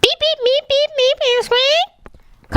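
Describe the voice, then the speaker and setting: The put-on character voice is squeaky. Its pitch is extremely high. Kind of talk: Shakespearean verse stage acting. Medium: stage play. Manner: beeps aloud but speaks thoughts in verse asides.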